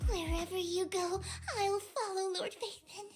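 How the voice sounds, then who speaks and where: A put-on character voice, squeaky and extremely high in pitch, moves at a moderate pace. Music plays in the background. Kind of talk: deferential. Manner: cute, notice-me voice.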